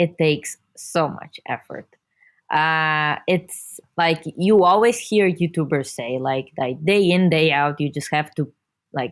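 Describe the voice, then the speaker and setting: A woman with an Italian accent, a very deep, low pitch, ordinary pitch variation and a very slow pace, in a very clean recording with a silent background. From Italy. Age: 20s. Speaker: video creator for marketing company. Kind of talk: podcast interview.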